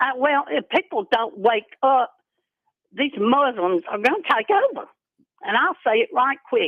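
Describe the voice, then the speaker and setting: Speaking at a fairly slow pace, a woman uses a high pitch. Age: 80s+. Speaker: caller. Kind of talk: phone-in call to radio show. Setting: phone call.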